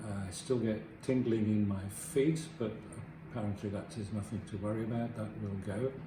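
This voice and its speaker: A man's fairly low voice with ordinary pitch variation, amid noticeable background noise and audible room echo. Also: moderate pace. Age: 70s. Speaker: surgery patient. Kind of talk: testimony.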